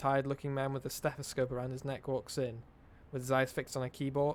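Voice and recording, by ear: A natural voice reads text aloud.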